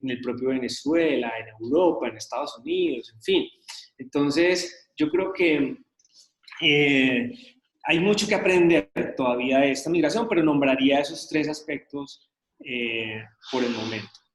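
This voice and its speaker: A man with a fairly high voice talks fairly slowly, his intonation lively. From Colombia, raised in Medellín. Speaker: journalism course instructor. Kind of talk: online lecture discussion. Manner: hesitant, many fillers.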